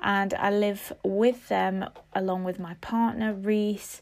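A woman speaks at a medium pitch with a British accent. The recording is very clean, with a silent background. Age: 20s. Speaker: life and mindset coach. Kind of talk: casual monologue.

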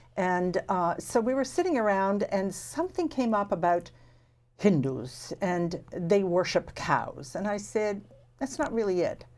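A woman talks in an ordinary speaking voice at a medium pitch with lively intonation and a fairly slow pace. The recording is very clean, with a silent background. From Canada, small town. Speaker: podcast host. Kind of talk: interview.

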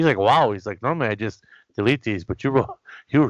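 A man with a plain, everyday voice speaks at a fairly quick pace with lively intonation against a quiet background. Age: 40s. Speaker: wrestling podcast host. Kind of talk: casual interview.

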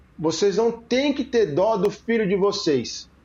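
A man's high voice moves with lively intonation. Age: 40s. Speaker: podcast host, father. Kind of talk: casual chat.

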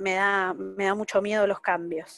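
A woman's voice at a medium pitch. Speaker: workshop participant. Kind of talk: personal sharing in workshop. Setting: video call without camera.

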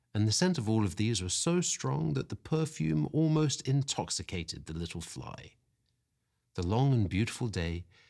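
At a fairly slow pace, a man speaks in a fairly low, warm, somewhat breathy voice. His pitch swings very widely in a very clean recording with a silent background. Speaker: podcast host reading stories aloud. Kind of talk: dramatic storybook narration, reading aloud. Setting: quiet spot away from the cold, home-recorded. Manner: slow, hushed and wistful, with expressive storytelling pacing; warm and cosy.

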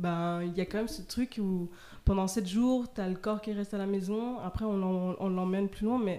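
Her voice is dark and mellow, medium in pitch for a woman, with fairly even intonation at a moderate pace. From half Vietnamese family. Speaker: podcast co-host. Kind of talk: casual chat.

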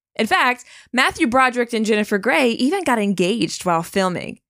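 At a moderate pace comes an ordinary speaking voice on a very clean recording with a silent background. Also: woman. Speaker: podcast host. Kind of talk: scripted podcast banter.

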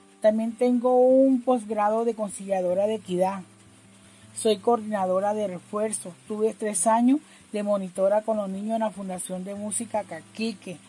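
A woman's fairly high, somewhat breathy voice has a dark, mellow tone. She speaks at a moderate pace with fairly even intonation. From Colombian Caribbean coast, Barranquilla. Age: 50s. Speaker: community leader. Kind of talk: personal testimony. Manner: halting.

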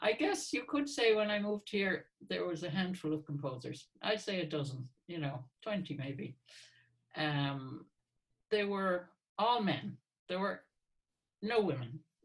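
Speaking in an American accent, a woman with a fairly low, somewhat breathy voice moves at a fairly slow pace, her pitch swinging very widely between long, frequent pauses. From US Northeast, Hartford, Connecticut. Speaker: composer. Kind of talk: interview.

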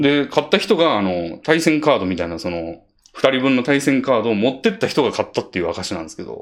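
Speaking very fast, a man with a medium pitch and vocal fry swings widely in pitch and loudness. The recording is very clean, with a silent background. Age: 30s. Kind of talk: casual chat.

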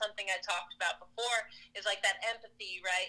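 The speaker talks with fairly even intonation over noticeable background noise. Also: woman. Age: 30s. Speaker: CrossFit athlete and coach. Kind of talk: interview.

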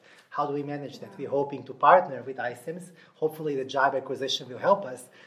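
Talking very fast with a Russian accent, a man uses a fairly high pitch. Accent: Russian-tinged. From Nashville, US South. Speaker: HR technology director. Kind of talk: interview. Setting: live event venue.

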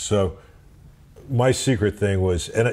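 This man has a fairly low, somewhat breathy voice with a dark, mellow tone. He speaks with an American accent. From US Midwest (St. Louis, Missouri). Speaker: amplifier company executive and former session bassist. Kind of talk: interview. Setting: in person at a music shop. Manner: halting, many fillers.

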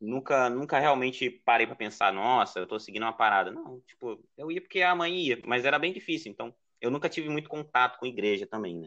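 With a northeastern Brazilian accent, a man talks in a medium pitch with lively intonation. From Ceará, Brazil (Northeast). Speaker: podcast editor and illustrator. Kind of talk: casual chat.

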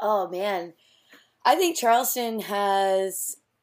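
A woman with an American accent speaks in a plain, everyday voice at a fairly slow pace. Her intonation is fairly even, and the recording is very clean with a silent background. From US Southeast. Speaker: artist and surfer. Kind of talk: casual interview.

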